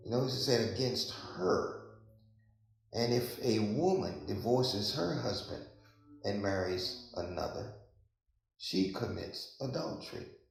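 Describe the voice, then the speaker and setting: Very slow and lively in intonation, a man talks at a medium pitch. Vocal fry shows in his voice. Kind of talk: sermon / Bible teaching. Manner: conversational, preacher-like.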